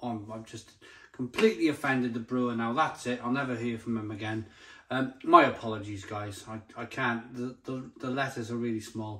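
Against a quiet background, a man with a bright, sharp tone and medium pitch talks at a fairly quick pace, his loudness swinging widely. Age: 40s. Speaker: beer reviewer. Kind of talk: product review. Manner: animated. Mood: enthusiastic, jovial. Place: kitchen. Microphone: phone near.

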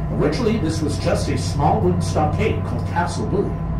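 With music in the background and audible room echo, a man speaks at a fairly quick pace. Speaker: tour guide. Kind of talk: tour narration. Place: boat.

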